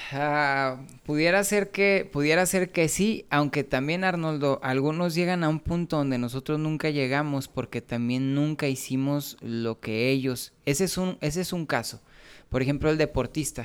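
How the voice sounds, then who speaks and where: At a fairly slow pace, a man with a Mexican accent and a fairly high pitch talks with ordinary pitch variation. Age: 40s. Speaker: musician and preacher. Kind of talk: casual chat. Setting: home studio.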